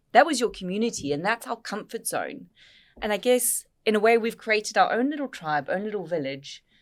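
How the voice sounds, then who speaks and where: On a very clean recording with a silent background, a woman speaks with vocal fry at a fairly quick pace, her fairly high pitch swinging very widely. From South Africa, Cape Town. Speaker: business network co-founder and podcast host. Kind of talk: casual podcast conversation. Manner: animated.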